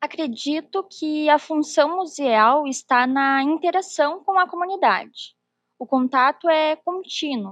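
A woman with a high pitch speaks at a very slow pace with ordinary pitch variation. The sound is dry and close, with no echo. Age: 20s. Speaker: former museum intern. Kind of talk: interview. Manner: formal.

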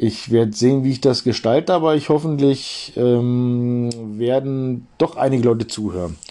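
With a dark, mellow tone, a man speaks at a medium pitch and a moderate pace. He takes hardly any pauses and shows ordinary pitch variation. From Bavaria, Germany. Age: 40s. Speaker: podcast host. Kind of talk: solo monologue introducing a podcast.

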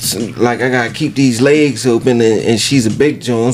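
A man's speech, with ordinary pitch variation, carries audible room echo over noticeable background noise. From US North. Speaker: podcast host. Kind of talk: casual chat.

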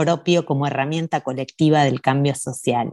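A woman speaks with a Rioplatense accent. Her tone is dark and mellow. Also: quiet background. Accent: Argentine Spanish (rioplatense, voseo). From Argentina. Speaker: radio host. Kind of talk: casual radio interview. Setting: remote call.

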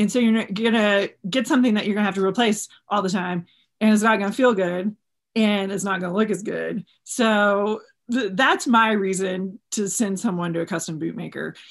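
A woman with an American accent and an unremarkable speaking voice speaks at a moderate pace and medium pitch with fairly even intonation against a quiet background. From Texas. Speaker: custom bootmaker. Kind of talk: casual interview. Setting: video call.

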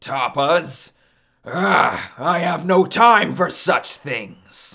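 On a very clean recording with a silent background, a man in a put-on character voice booms very slowly at a fairly high pitch, bright and sharp in tone, with lively intonation and vocal fry.

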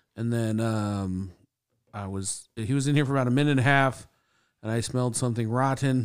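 In a very clean recording with a silent background, a man with an unremarkable speaking voice talks at a medium pitch with ordinary pitch variation. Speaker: podcast host. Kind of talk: casual chat. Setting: studio.

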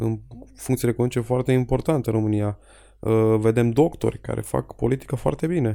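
Fairly quick speech in a dark, mellow tone with ordinary pitch variation, on a very clean recording with a silent background. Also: man, medium pitch for a man. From Romania, Jiu Valley (Petroșani). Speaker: local politician. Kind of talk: casual interview. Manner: halting.

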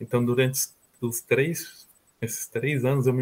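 A man with a medium pitch talks at a moderate pace, sounding somewhat breathy. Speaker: university student abroad. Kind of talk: interview testimony.

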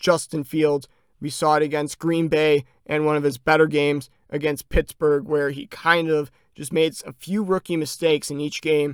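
A man with an American accent speaks at a fairly high pitch in a monotone, flat intonation. The sound is dry and close, with no echo. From Chicago, US Midwest. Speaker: sports podcast host. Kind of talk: solo sports commentary podcast.

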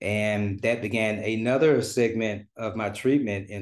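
A plain, everyday voice with an American accent speaks in fairly even intonation over a quiet background. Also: man. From US South, Memphis, Tennessee. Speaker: mental health advocate and life coach. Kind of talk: interview, personal story.

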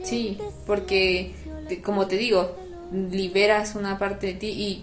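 Noticeable background noise and audible room echo surround the recording. A woman speaks at a medium pitch with monotone, flat intonation. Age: 20s. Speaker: podcast host. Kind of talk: casual chat.

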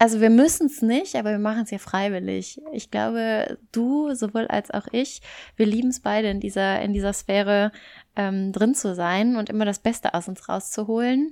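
A woman speaks at a moderate pace in a fairly high pitch, her tone dark and mellow with ordinary pitch variation, on a very clean recording with a silent background. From German-speaking Belgium. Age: 20s. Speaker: podcast co-host. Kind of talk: casual chat. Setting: long-distance call.

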